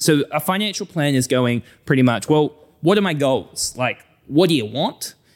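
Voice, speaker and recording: This man has a New Zealand accent and a fairly high pitch, with lively intonation at a moderate pace. The recording is very clean against a silent background. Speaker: financial advisor. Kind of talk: casual interview. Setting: studio.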